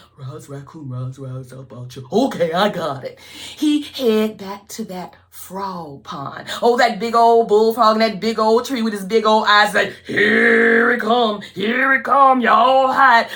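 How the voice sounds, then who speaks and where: At a fairly slow pace and fairly high pitch, a woman speaks with very wide pitch swings and big swings in loudness, against noticeable background noise. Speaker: storyteller. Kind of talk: folk tale storytelling. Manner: lively, call-and-response.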